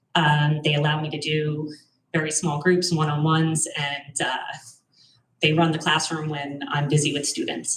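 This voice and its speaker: There is audible room echo around a woman's very deep, low voice. She speaks in a flat monotone. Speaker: teacher. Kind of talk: presentation at public meeting. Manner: fast.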